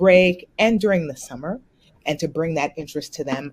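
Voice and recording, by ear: A woman's slightly mellow tone with ordinary pitch variation.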